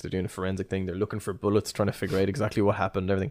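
On a very clean recording with a silent background, a man with an Irish accent speaks at a very deep, low pitch. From Ireland. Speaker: podcast host. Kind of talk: casual chat, history podcast. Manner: fast talker.

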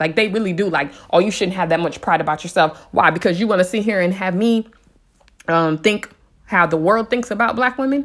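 A woman talks at a fairly quick pace with a medium pitch. Her intonation is lively. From San Diego, California. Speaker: podcast host. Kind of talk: casual monologue. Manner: animated.

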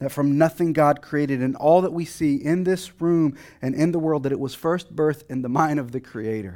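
A man with an American accent speaks at a moderate pace in a dark, mellow tone, his pitch fairly high with ordinary variation. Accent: slight Texan, comes and goes. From Texas. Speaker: guest preacher. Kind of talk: sermon. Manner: hesitant, many fillers and restarts.

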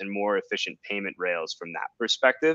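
Recorded dry and close with no echo against a quiet background, a man speaks in a bright, sharp tone. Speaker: author, finance-background guest. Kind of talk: casual discussion.

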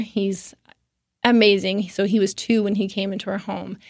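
A woman speaks at a moderate pace in a medium pitch, with an unremarkable speaking voice. The recording is very clean, with a silent background. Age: 30s. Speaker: state politician and sports referee. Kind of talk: casual interview.

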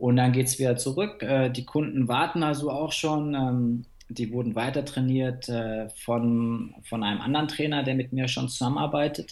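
A man of medium pitch talks at a moderate pace with hardly any pauses. He has a normal speaking voice with ordinary pitch variation. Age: 30s. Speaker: fitness coach. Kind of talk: interview.

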